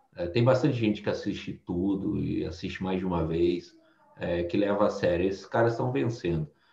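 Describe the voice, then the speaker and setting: This man's voice is somewhat breathy, fairly low in pitch, and dark and mellow in tone. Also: ordinary pitch variation, moderate pace. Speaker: former bank treasurer and quant trading instructor. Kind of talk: casual interview.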